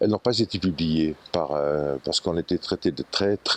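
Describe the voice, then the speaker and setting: Someone male talks here. His pace is fairly slow. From Switzerland, Valais (Martigny). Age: 80s+. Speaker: photographer and foundation founder. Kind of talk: interview, personal reminiscence. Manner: hesitant, with repetitions and fillers.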